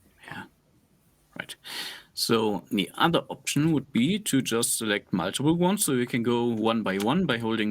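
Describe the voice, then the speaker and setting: With a non-native accent, a man talks at a moderate pace and a medium pitch, his intonation lively. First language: not English. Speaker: analytics expert answering questions. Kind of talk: screen-share tutorial.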